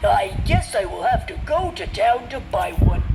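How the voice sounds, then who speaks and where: Someone does a put-on character voice at a moderate pace, with clear background noise. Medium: read story.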